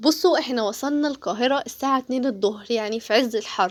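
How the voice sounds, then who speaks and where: Very rapid, lively-toned speech in an Egyptian accent. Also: woman. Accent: Egyptian Arabic, clearly audible. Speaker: travel vlogger. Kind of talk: casual travel vlog narration. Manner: chatty, hesitant fillers.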